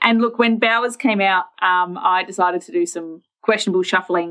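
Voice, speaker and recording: This woman speaks at a fairly quick pace with an Australian accent. Her pitch is medium, with ordinary variation. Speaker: fantasy sports podcast co-host. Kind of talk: casual chat.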